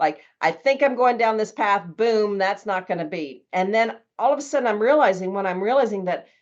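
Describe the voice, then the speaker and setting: Over a quiet background, a woman uses an ordinary speaking voice at a medium pitch, her intonation lively. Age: 60s. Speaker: author and traveler. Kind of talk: podcast interview.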